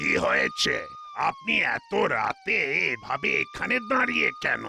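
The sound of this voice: Against clear background noise, a man does a cartoonish character voice at a very slow pace.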